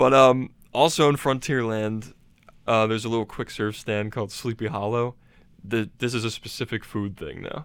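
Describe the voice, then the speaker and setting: Fairly even in intonation and moderate in pace, the clip carries an unremarkable speaking voice. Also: man, medium pitch for a man. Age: 20s. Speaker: Disney enthusiast. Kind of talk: casual chat.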